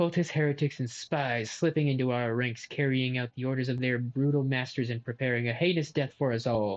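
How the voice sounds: Fairly even intonation in a natural reading voice.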